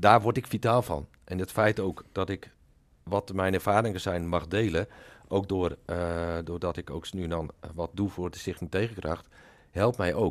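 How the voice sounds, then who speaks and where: On a very clean recording with a silent background, a man with a very deep, low pitch speaks fairly slowly with fairly even intonation. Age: 60s. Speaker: retired police officer. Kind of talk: podcast interview.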